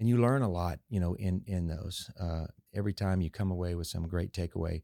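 In a very clean recording with a silent background and a dry, close, echo-free sound, a man speaks at a moderate pace with a very deep, low pitch, ordinary pitch variation and a dark, mellow tone. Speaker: car dealership owner. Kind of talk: casual interview chat. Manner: calm, measured.

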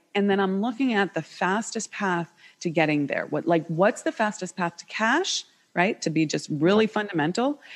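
Speaking at a moderate pace with an American accent, a woman has a normal speaking voice. Her pitch is medium and her intonation lively. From United States. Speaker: business coach. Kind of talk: interview.

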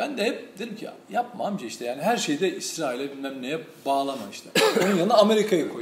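Over noticeable background noise and audible room echo, a man speaks very fast at a high pitch with very wide pitch swings. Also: big swings in loudness. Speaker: journalist and commentator. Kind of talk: casual political discussion. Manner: loud at times.

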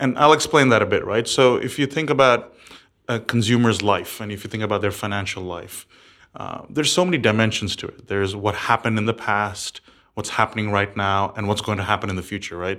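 On a very clean recording with a silent background, a man talks at a fairly quick pace, his fairly low voice bright and sharp in tone. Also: ordinary pitch variation. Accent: American. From several countries, third culture upbringing. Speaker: startup founder and CEO. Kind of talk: interview.

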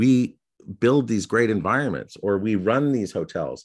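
A man with an ordinary speaking voice talks at a moderate pace with lively intonation against a quiet background. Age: 40s. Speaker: podcast host. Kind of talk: interview conversation.

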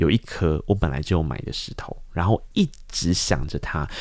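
Vocal fry marks a man's voice on a very clean recording over a silent background. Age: 30s. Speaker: podcast host. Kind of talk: interview. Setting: studio.

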